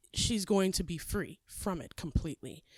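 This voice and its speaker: Recorded very cleanly against a silent background, a woman with a medium pitch speaks with lively intonation. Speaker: podcast host. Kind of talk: casual podcast monologue.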